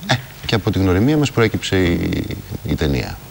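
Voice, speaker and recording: The voice moves through very wide pitch swings. Noticeable background noise sits behind it. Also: man. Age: 40s. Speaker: actor. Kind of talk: TV interview. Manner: halting.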